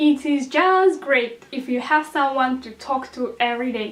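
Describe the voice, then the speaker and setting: A woman's high-pitched voice with a non-native accent, at a moderate pace with ordinary pitch variation. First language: not English. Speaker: YouTuber sharing exam tips. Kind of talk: casual vlog tutorial. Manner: hesitant, with filler ums.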